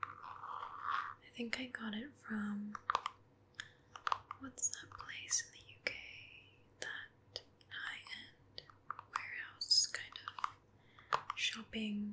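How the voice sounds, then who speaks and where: Soft-spoken and very slow, a woman talks with long, frequent pauses against noticeable background noise. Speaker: ASMR creator. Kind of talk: ASMR soft-spoken chat. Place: home room.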